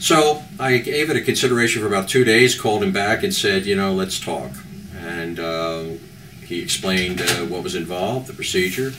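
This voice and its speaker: A man speaks in a fairly low voice. Noticeable background noise can be heard. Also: lively intonation, moderate pace. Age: 70s. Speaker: patient giving a testimonial. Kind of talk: testimonial interview. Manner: halting, many fillers.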